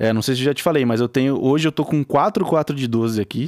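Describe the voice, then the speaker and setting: In a very clean recording with a silent background and a dry, close sound with no echo, a man with a plain, everyday voice speaks at a moderate pace in a medium pitch with ordinary pitch variation. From interior of São Paulo state, Brazil. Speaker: music producer and guitarist. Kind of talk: casual interview chat.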